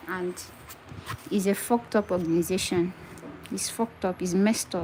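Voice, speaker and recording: A woman of medium pitch speaks at a moderate pace in a Nigerian accent. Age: 20s. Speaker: wig maker. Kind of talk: live stream tutorial and chat. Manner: animated.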